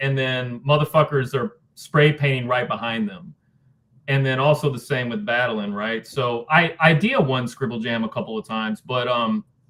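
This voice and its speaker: A plain, everyday voice from a man at medium pitch, with a moderate pace and ordinary pitch variation. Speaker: spoken word poet and rapper. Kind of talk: interview answer. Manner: casual, conversational.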